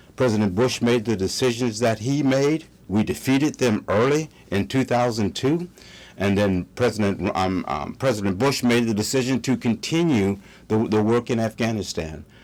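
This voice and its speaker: Speaking in an American accent at a medium pitch, a man talks at a moderate pace with lively intonation and very even loudness on a very clean recording with a silent background. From United States. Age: 60s. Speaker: political commentator. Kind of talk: opinion monologue. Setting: studio. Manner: halting.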